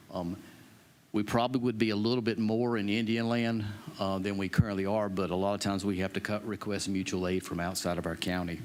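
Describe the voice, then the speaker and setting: In an unremarkable speaking voice, a man with an American accent talks at a fairly low pitch with fairly even intonation. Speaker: county EMS director. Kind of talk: budget presentation to council. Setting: county council meeting.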